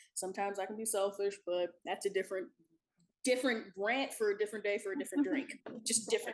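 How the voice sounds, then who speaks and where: The woman talks at a very fast pace. Her pitch is medium, with ordinary pitch variation. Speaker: talk show guest. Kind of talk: casual chat. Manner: loud; animated.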